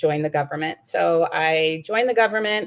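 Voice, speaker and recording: A woman talks at a moderate pace with a New York accent. Her pitch is fairly low. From New York City. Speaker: diplomat and mother. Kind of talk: casual interview.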